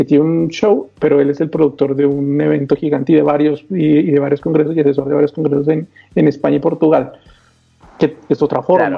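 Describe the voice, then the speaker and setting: A man with an unremarkable speaking voice, a fairly high pitch and a moderate pace. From Colombia. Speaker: magician and channel host. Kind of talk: casual chat.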